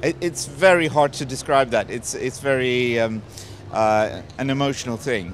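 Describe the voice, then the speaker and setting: With a Swedish accent, a man talks at a moderate pace and medium pitch. His pitch variation is ordinary, and there is noticeable background noise. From Sweden. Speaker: film director. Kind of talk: red carpet interview. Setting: red carpet premiere. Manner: halting.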